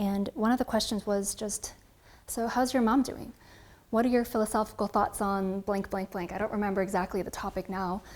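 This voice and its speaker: Speaking fairly quickly, a woman with an American accent uses a medium pitch and fairly even intonation in a plain, everyday voice. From California, US. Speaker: coffee creator and barista. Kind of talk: interview monologue.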